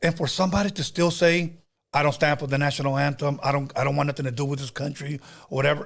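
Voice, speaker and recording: A man's very fast, somewhat breathy speech at a fairly high pitch. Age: 50s. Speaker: podcast host. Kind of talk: casual chat. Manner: animated.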